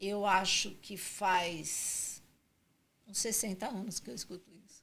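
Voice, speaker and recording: A woman speaks at a very slow pace with fairly even intonation. Her loudness swings widely. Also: medium pitch for a woman. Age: 60s. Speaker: franchising consultant. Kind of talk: podcast interview. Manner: halting.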